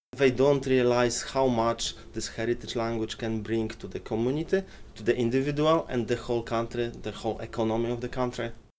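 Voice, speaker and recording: This man talks at a fairly quick pace in a plain, everyday voice. His pitch is medium and his intonation fairly even. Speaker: Polish Saturday school teacher.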